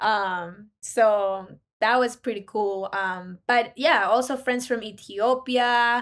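Delivered at a very slow pace with ordinary pitch variation, the voice comes in a Spanish accent. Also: woman, fairly high pitch for a woman. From Ecuador. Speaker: recent college graduate and business consultant. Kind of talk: casual interview. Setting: remote call. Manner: animated.

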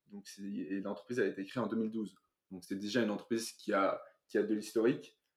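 Moving at a fairly quick pace, a man speaks in an unremarkable speaking voice, fairly low in pitch with fairly even intonation. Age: 20s. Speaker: financial analyst. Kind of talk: interview.

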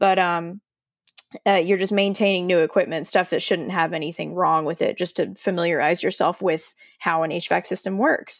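A woman uses an ordinary speaking voice at a fairly low pitch. She keeps a fairly quick pace and fairly even intonation. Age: 20s. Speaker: HVAC technician. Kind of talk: casual chat.

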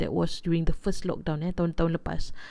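This woman speaks with a fairly low pitch, ordinary pitch variation and a dark, mellow tone. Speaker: podcast host. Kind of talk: casual podcast intro. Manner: hesitant, many fillers.

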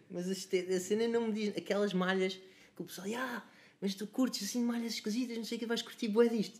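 A man's high-pitched voice at a very fast pace with ordinary pitch variation. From Lisbon area, Portugal (Cascais–Oeiras line). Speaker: musician. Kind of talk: casual chat.

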